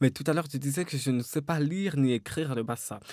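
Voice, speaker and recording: Against a quiet background, a man talks at a fairly quick pace and fairly high pitch, the sound dry with no echo. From Cameroon, Douala; Cameroon. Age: 30s. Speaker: novelist; interviewee. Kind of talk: interview; interview answer. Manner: hesitant, many fillers. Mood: calm, reflective. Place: studio. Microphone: studio mic.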